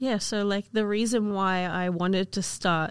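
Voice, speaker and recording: Her intonation monotone and flat, a woman speaks at a moderate pace in a very clean recording with a silent background. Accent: Australian. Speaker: podcast co-host and university student. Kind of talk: casual chat.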